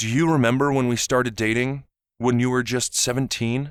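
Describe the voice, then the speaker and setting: Using a put-on character voice, a man speaks at a medium pitch and fairly quick pace with monotone, flat intonation, in a very clean recording with a silent background. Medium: read story. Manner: melancholy.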